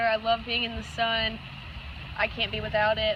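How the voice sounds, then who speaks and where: Over noticeable background noise, a woman with an American accent talks at a moderate pace and a fairly high pitch. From Georgia, US South. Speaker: couple applicant. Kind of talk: casual interview.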